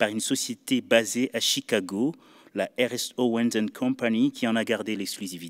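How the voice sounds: The delivery is a natural reading voice. Its intonation is lively.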